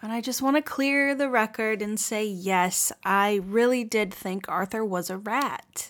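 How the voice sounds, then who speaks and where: With a normal speaking voice, a woman talks at a fairly slow pace with ordinary pitch variation and hardly any pauses. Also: fairly high pitch for a woman. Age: 30s. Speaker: podcast host. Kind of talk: casual comedic chat.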